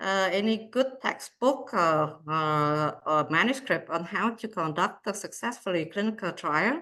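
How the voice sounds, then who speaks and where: Someone with a non-native accent speaks at a fairly slow pace, with a bright, sharp tone and very wide pitch swings. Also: woman. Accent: noticeable non-native. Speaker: cardiologist and researcher. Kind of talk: lecture. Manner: slow, hesitant with many fillers.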